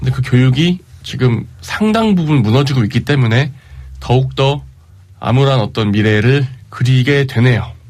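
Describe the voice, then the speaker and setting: Here a man speaks at a moderate pace and medium pitch, somewhat breathy. His loudness stays very even, and his pitch varies an ordinary amount. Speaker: radio host. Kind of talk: casual radio talk.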